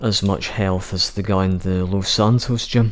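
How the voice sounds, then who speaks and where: Here a man talks in a British accent. His intonation stays fairly even. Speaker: gaming YouTuber. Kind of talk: gameplay commentary.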